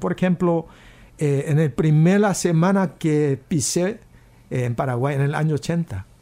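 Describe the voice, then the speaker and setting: Speaking at a fairly slow pace, a man with a Korean accent has a dark, mellow tone. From South Korea. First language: Korean (speaking Spanish). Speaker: pastor. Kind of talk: casual chat. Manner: halting.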